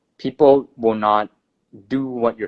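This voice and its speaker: A man talks with ordinary pitch variation. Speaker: podcast host. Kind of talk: casual chat. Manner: soft-spoken; halting.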